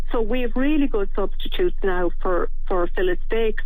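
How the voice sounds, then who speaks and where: Over noticeable background noise, a woman uses a fairly high pitch and lively intonation. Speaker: director of an animal rights vegan campaign, radio guest. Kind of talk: radio interview answer.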